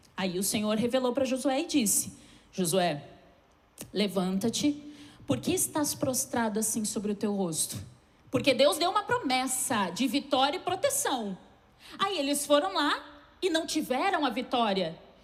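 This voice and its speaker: Through noticeable background noise and audible room echo, a woman with a high pitch speaks at a fairly slow pace, with very wide pitch swings and long, frequent pauses. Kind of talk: sermon.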